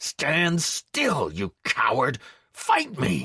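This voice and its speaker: A man growls through a put-on character voice. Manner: growling, furious.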